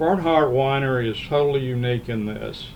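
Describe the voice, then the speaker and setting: Audible room echo hangs around the speaker, a man. His intonation stays fairly even. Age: 70s. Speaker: podcast host, music magazine publisher. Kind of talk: casual podcast chat.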